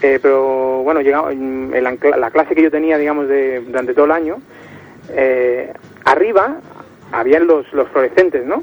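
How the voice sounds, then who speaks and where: With noticeable noise in the background, a fairly high-pitched man talks at a medium speed, his intonation fairly level. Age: 20s. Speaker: caller. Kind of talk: casual chat.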